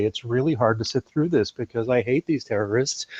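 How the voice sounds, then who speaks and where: A man with an American accent talks at a fairly quick pace and a medium pitch, the sound dry and close with no echo. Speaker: men's rights activist. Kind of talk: casual discussion. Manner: sounds excited and out of breath.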